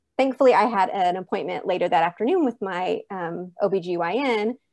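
An ordinary speaking voice from a woman, fairly even in intonation and moderate in pace. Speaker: mother of a former NICU baby. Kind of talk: personal testimony interview.

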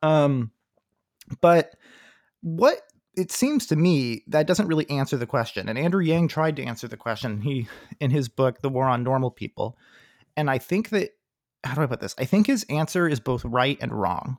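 Here is a man with an ordinary speaking voice and a fairly high pitch. He uses lively intonation at a moderate pace. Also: dry, close sound with no echo, very clean recording, silent background. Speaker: podcast host. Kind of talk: casual political discussion.

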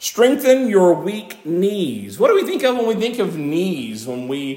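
Over noticeable background noise, a man speaks loud at a moderate pace with very wide pitch swings. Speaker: pastor. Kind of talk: sermon. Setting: church.

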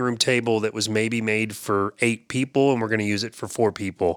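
In a very clean, dry, close recording with a silent background and no echo, a man with a normal speaking voice talks at a medium pitch with fairly even intonation. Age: 50s. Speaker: podcast co-host. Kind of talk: casual chat.

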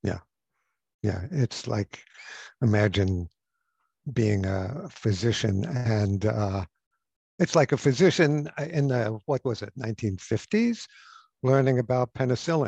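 A man speaks at a very slow pace with long, frequent pauses and lively intonation, his tone dark, mellow and somewhat breathy. The sound is dry and close with no echo, over a quiet background. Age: 70s. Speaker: psychotherapist and author. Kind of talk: interview.

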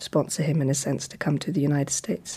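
At a fairly quick pace, a woman speaks with a very deep, low pitch and a dark, mellow tone. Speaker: daughter of photographer, archive keeper. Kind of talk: interview.

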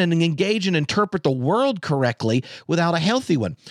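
With a dry, close sound and no echo, a man moves at a fairly quick pace through very wide pitch swings. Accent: American. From North Carolina, US South. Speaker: theologian and podcaster. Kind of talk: casual chat. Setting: video call.

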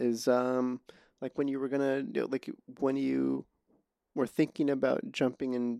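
A soft-spoken voice in a flat monotone, with a dry, close sound, no echo, a very clean recording and a silent background. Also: man. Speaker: podcast host and filmmaker. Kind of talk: casual interview conversation. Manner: halting, many false starts.

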